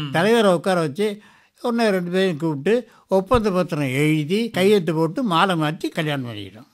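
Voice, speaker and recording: In a very clean recording with a silent background, a man speaks with a high pitch and lively intonation. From Ariyalur, Tamil Nadu, India. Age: 80s+. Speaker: retired schoolteacher and debut film actor. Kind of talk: interview answer. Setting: radio interview.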